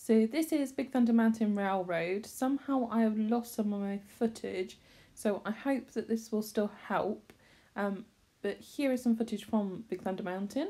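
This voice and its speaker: With a Bristolian accent, a woman speaks in a dark, mellow tone at a fairly high pitch. Her pace is moderate and her pitch varies in an ordinary way. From Bristol, England. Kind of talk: casual talk to camera.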